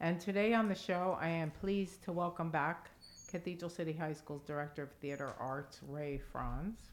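At a moderate pace, a woman with a normal speaking voice speaks at a fairly low pitch with ordinary pitch variation. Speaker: school district communications host. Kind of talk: casual interview for a school podcast.

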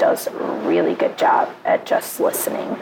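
A woman talks at a moderate speed, with noticeable noise in the background. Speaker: singer. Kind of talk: casual chat. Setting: in public place, recording on location.

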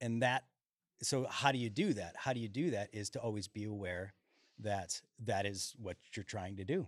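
In a very clean recording with a silent background, a man with a plain, everyday voice speaks at a moderate pace in a fairly low pitch, the sound dry and close with no echo. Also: ordinary pitch variation. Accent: American. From Chicago, Illinois. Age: 40s. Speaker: singer-songwriter. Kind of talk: casual chat. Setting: stage.

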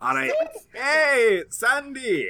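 His voice raised and projected, a man sounds bright and sharp as his pitch swings very widely. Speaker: tabletop game player. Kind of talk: casual comedic game chat.

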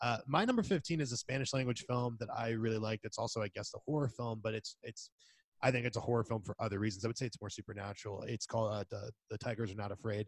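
A man's somewhat breathy, medium-pitched voice at a very fast pace with fairly even intonation, dry and close with no echo, on a very clean recording with a silent background. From Spain. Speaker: film podcast co-host. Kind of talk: casual chat.

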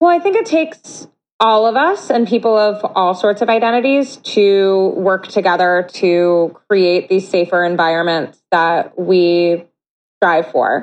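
A woman's normal speaking voice, medium in pitch, with lively intonation, very even loudness and a fairly slow pace. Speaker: anti-harassment organization founder. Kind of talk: podcast interview.

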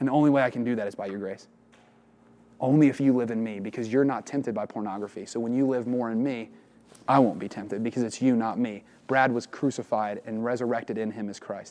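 Speaking very fast with a Midwestern American accent, a man uses a dark, mellow tone and fairly even intonation. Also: medium pitch for a man. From southern Ohio, small town. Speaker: retreat speaker. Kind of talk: religious talk to young men. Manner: casual, conversational.

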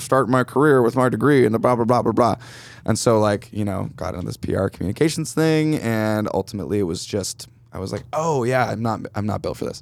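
A man with an American accent, an ordinary speaking voice, medium pitch and ordinary pitch variation. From upstate New York, Finger Lakes. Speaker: guitarist. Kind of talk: casual chat. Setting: studio.

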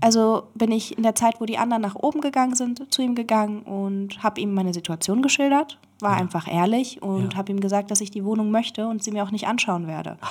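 Racing at a very fast pace with hardly any pauses, a woman speaks at a fairly high pitch with ordinary pitch variation. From Berlin, Germany. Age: 20s. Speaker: interview guest. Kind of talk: casual chat. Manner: halting.

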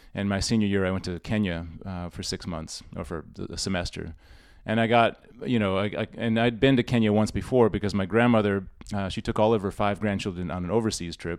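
A man with an American accent speaks at a fairly quick pace in a fairly low pitch, his intonation fairly even. The recording is very clean, with a silent background. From US Northeast, Rochester, New York. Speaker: musician and teacher. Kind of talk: casual interview.

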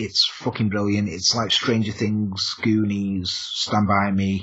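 Very slow, monotone and flat delivery from a man with an English accent and a fairly low pitch. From England. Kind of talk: casual chat.

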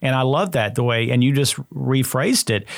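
In a normal speaking voice, a man talks at a fairly quick pace and medium pitch with ordinary pitch variation. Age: 60s. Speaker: health podcast host. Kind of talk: casual interview. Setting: studio.

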